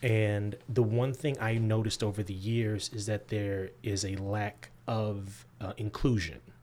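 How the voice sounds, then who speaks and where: A man with an American accent has a normal speaking voice, fairly low in pitch. He talks at a fairly slow pace with hardly any pauses and fairly even intonation. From US Midwest. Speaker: graphic novel writer. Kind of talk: interview.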